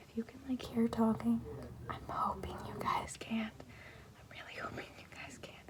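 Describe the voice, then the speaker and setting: Noticeable background noise sits beneath a voice that is whispering. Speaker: ASMR creator. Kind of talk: casual talk to camera.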